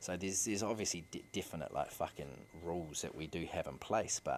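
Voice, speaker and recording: Very deep and low in pitch with vocal fry, a man with a New Zealand accent is heard in a very clean recording with a silent background. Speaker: podcast host, father. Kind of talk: casual monologue. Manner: repetitive, halting restarts.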